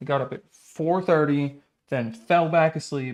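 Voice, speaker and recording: This man has an unremarkable speaking voice, fairly high in pitch with ordinary pitch variation. His pace is moderate. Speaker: live streamer. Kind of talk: casual livestream chat.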